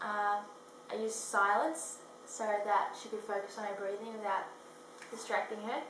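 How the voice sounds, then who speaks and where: Through noticeable background noise and audible room echo, a woman talks at a moderate pace with long, frequent pauses. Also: medium pitch for a woman, fairly even intonation. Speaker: student nurse demonstrating clinical skills. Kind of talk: skills demonstration with narration. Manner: hesitant, many fillers; friendly, loud enough to be heard.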